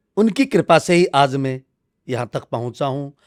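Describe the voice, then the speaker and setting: The recording is dry and close with no echo, capturing a man whose pitch is fairly high. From Haryana, India. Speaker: spiritual leader. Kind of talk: interview.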